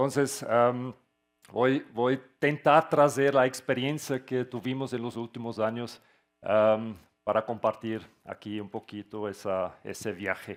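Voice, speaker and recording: Very slowly and with fairly even intonation, a man speaks at a medium pitch with a Portuguese accent. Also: very clean recording, silent background. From Switzerland. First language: not Spanish; Portuguese-influenced (speaking Spanish). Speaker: tech company founder. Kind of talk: conference talk. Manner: halting with fillers.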